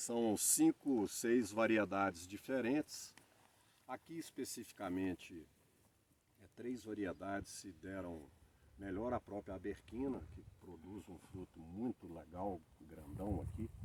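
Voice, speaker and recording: A man talks at a very slow pace in a fairly low voice with ordinary pitch variation. His loudness swings a lot. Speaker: olive grower. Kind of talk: farm tour explanation.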